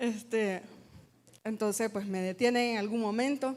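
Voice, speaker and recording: Fairly high pitch from a woman, varying in an ordinary way. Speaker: worship singer. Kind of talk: testimony. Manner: fast; combative tone.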